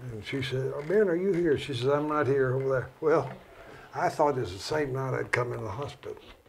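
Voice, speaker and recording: A man speaks fairly quickly at a fairly high pitch, with ordinary pitch variation. Noticeable background noise and audible room echo surround his voice. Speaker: doctor. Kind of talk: casual chat. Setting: studio.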